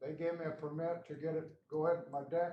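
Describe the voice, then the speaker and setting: In a room with audible echo, a man speaks fairly quickly in a high pitch, his intonation fairly even. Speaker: resident at public meeting. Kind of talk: public comment. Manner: loud.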